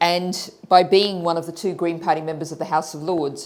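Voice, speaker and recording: Speech at a moderate pace, in an Australian accent. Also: woman. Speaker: politician. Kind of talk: panel talk.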